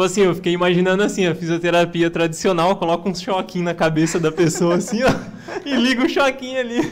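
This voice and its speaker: This man talks at a very fast pace in a high voice. Noticeable noise sits in the background. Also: ordinary pitch variation. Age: 20s. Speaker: podcast co-host. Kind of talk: podcast interview. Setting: studio.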